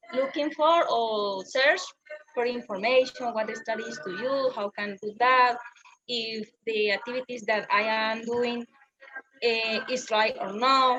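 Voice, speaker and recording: A woman with a Spanish accent speaks very slowly in a fairly high voice with ordinary pitch variation, music playing behind her. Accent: Spanish accent, noticeable. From Colombia. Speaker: English learner. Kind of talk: casual chat. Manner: halting.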